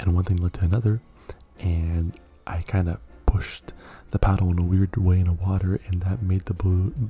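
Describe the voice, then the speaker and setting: Music plays behind a man whose very deep, low voice stays monotone and flat, broken by long, frequent pauses. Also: moderate pace. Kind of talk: asmr whisper ramble, casual talk to mic. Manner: soft-spoken, rambling, with frequent filler words.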